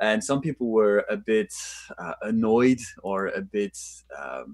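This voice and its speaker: A man speaks with a French accent. His pitch swings very widely. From France. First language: French and Japanese. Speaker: actor. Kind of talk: interview. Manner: halting with many fillers.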